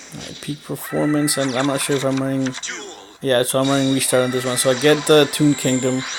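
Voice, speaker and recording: Noticeable background noise sits behind speech at a fairly quick pace. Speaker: mobile card game YouTuber. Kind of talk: gameplay commentary. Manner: hesitant, many fillers; casual, rambling.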